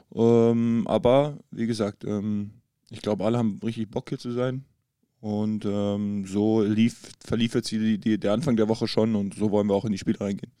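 In a very clean recording with a silent background, a man with a fairly low pitch and a dark, mellow tone talks at a moderate pace with fairly even intonation. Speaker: professional basketball player. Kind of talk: casual chat. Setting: in person at a table in a hotel.

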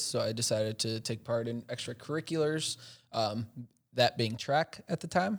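With an American accent, a man of medium pitch has a plain, everyday voice and a moderate pace. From Chicago, US. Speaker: tech startup executive. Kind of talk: casual interview.

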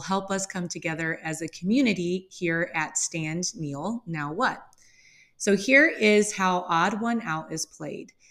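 A woman with an American accent and medium pitch, ordinary pitch variation and a fairly slow pace, on a very clean recording with a silent background. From US Midwest. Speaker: podcast host and English language teacher. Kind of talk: scripted-style podcast monologue, casual intro.

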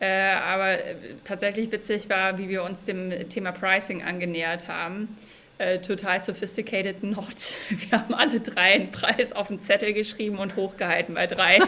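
Monotone, flat intonation marks a woman's medium-pitched voice. She keeps a moderate pace. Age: 30s. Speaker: organizational consultant and coach. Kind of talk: interview.

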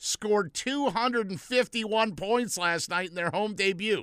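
Speaking at a very slow pace, a man with a high pitch and a bright, sharp tone shows ordinary pitch variation in a very clean recording with a silent background. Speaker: sports radio co-host. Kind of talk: casual sports talk. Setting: studio. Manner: animated.

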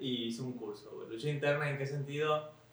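There is noticeable background noise and audible room echo as a man talks in a fairly high pitch. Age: 20s. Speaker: podcast co-host. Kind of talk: casual chat.

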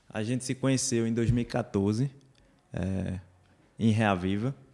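A man's fairly low voice with a dark, mellow tone. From Recife, Brazil. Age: 20s. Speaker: church youth activist. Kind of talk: casual interview chat.

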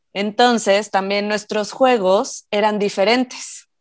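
A woman has an ordinary speaking voice, fairly high in pitch with fairly even intonation. She speaks fairly slowly in a very clean recording with a silent background. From Mexico, Morelia (Michoacán). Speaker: mom and educational toy maker. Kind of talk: casual interview.

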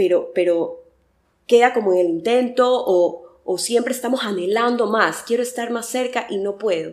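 A woman with a normal speaking voice talks at a fairly slow pace, with ordinary pitch variation. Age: 30s. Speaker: communications worker and faith content creator. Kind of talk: casual interview.

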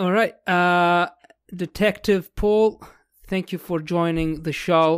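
Very slowly, a man speaks at a high pitch on a very clean recording with a silent background. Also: fairly even intonation. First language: not English (learned English). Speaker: podcast host and English teacher. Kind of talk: interview conversation; scripted outro.

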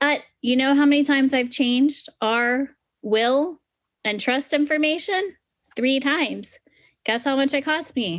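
Speaking at a fairly slow pace, a woman uses a high pitch with ordinary pitch variation and very even loudness. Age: 30s. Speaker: financial podcast host and planner. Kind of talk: educational monologue. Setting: screen-shared online session.

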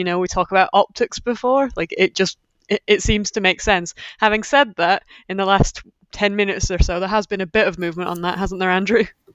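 An ordinary speaking voice moves at a fairly quick pace with fairly even intonation. The sound is dry and close, with no echo. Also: woman, medium pitch for a woman. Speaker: journalist. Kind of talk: news discussion.

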